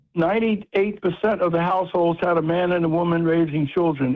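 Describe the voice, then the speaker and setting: A man's high voice with an American accent, at a fairly quick pace, with fairly even intonation. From US Northeast, South Philadelphia. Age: 80s+. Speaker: author and community leader. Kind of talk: radio interview.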